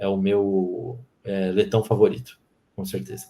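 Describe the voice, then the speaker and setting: Fairly low in pitch, a man talks in a normal speaking voice with ordinary pitch variation. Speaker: sports podcast host. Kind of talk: casual podcast chat.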